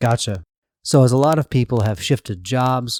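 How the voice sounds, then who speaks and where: The speaker has a normal speaking voice with ordinary pitch variation. The sound is dry and close, with no echo. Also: man, very clean recording, silent background. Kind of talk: interview questions.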